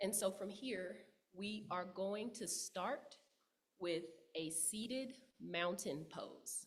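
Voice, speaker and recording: Speaking very slowly in a Texas accent, a woman uses a medium pitch with ordinary pitch variation, and the room echo is audible. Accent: Southern US (Texas). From Texas, Dallas. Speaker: yoga teacher and writer. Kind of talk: guided yoga instruction. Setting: church service. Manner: loud; calm, with frequent fillers.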